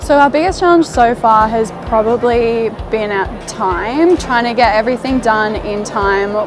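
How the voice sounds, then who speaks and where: A woman speaks fairly slowly. Music can be heard behind her. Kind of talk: interview answer. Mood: enthusiastic, excited. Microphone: lapel.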